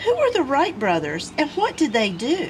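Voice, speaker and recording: Over clear background noise, a woman uses a put-on character voice pitched high. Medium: read story.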